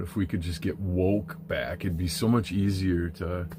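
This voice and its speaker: A man talks with a very deep, low pitch and fairly even intonation. Noticeable background noise sits behind him. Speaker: spiritual vlogger. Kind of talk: casual monologue. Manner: flowing today.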